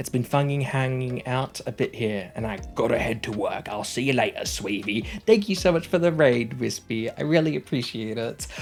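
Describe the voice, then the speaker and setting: A man with an Australian accent, lively intonation and a moderate pace, hardly any pauses, music in the background. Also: medium pitch for a man. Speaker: vtuber streamer. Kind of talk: casual live stream chat. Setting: home at night.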